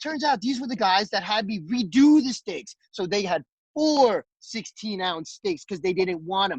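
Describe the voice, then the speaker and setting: A man speaks loudly. His intonation is lively. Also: dry, close sound with no echo. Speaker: restaurant chef.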